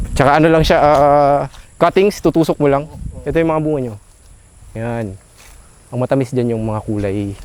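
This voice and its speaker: A man talks at a moderate pace with fairly high pitch and lively intonation. He leaves long, frequent pauses. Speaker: farmer. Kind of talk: casual interview. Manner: halting.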